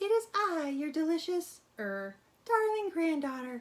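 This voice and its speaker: A female-sounding put-on character voice squeaks at an extremely high pitch. It swings very widely in pitch at a moderate pace. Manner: sly, deceptive.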